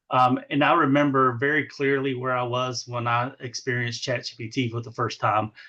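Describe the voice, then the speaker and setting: This man has an Eastern North Carolina accent and a bright, sharp tone at a medium pitch. He talks at a moderate pace against a quiet background. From US South, eastern North Carolina. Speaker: education administrator. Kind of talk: podcast interview. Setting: podcast.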